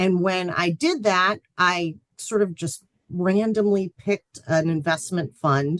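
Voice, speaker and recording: A woman speaks at a fairly slow pace with a fairly low pitch. It is an ordinary speaking voice, with a dry, close sound and no echo. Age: 40s. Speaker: financial planning instructor. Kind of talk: lecture. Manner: casual, many filler ums.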